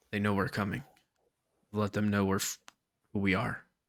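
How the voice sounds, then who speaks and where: Using a put-on character voice, a man speaks at a moderate pace with a fairly low pitch and monotone, flat intonation. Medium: actual play. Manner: hushed, earnest.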